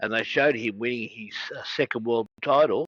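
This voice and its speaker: A man talks with an Australian accent at a moderate pace. His pitch varies in an ordinary way. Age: 60s. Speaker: wrestling podcast host. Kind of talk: interview. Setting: video call.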